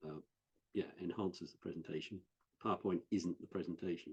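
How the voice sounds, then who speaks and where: A very deep, low-pitched man with a Norfolk accent and monotone, flat intonation. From West Norfolk, England. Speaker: IT training specialist. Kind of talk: interview answer. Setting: online video call.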